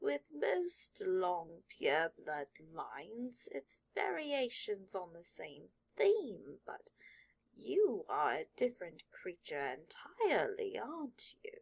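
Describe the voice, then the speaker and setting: In a put-on character voice, the speaker uses a fairly high pitch and a very slow pace. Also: big swings in loudness. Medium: read story. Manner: knowing, wry.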